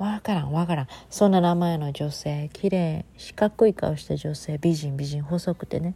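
A woman with a fairly low pitch and a dark, mellow tone, somewhat breathy, at a moderate pace with hardly any pauses and ordinary pitch variation. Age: 30s. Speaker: podcaster. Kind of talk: casual monologue. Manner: languid, drowsy delivery.

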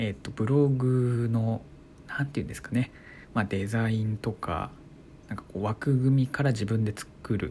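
A man speaks at a medium pitch and a moderate pace with ordinary pitch variation. His voice is somewhat breathy, with a dark, mellow tone. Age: 20s. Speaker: blogger and podcaster. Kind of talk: solo talk radio monologue. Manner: calm.

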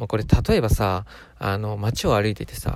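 A man talks at a fairly quick pace. The recording is very clean, with a silent background. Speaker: solo podcaster. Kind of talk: casual monologue. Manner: slightly faster than usual, forced; poor enunciation.

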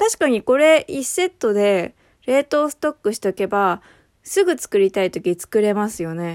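The sound is dry and close, with no echo. A woman talks at a moderate pace with very wide pitch swings. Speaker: spice curry expert podcast host. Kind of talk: casual solo talk answering listener questions.

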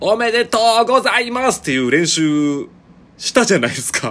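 In a Kansai accent, a man talks at a moderate pace, his pitch swinging very widely. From Shiga, Kansai (Shigaraki). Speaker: podcaster. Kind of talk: casual solo monologue. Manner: casual, chatty with laughs.

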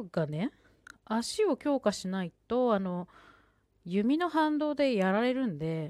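The recording is very clean, with a silent background. A woman's fairly high voice makes very wide pitch swings. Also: dry, close sound with no echo. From Sendai, Japan. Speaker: podcaster. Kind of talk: solo talk.

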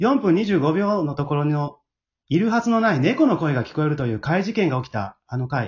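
A man's fairly high pitch with lively intonation and a slightly husky edge. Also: fairly quick pace.

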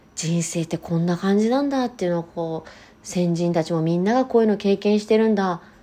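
A woman with a dark, mellow tone speaks at a fairly quick pace with lively intonation over a quiet background. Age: 30s. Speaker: podcast host. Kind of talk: casual chat.

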